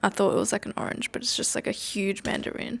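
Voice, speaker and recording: Speaking with an Australian accent, a woman uses a medium pitch, fairly even intonation, and vocal fry. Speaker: student vlogger. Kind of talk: casual vlog talk. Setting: library.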